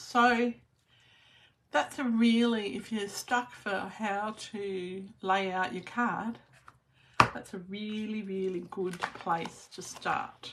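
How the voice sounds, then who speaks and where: A woman with an Australian accent, very slow in pace, with big swings in loudness. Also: medium pitch for a woman, ordinary pitch variation. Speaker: papercraft demonstrator. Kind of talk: live stream tutorial. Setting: Facebook live video. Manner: uneven volume, sometimes soft.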